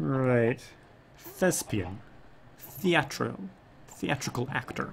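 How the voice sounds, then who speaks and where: This man talks at a very slow pace with a medium pitch and some vocal fry. His pitch swings very widely. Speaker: video game streamer. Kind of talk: casual chat. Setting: live stream.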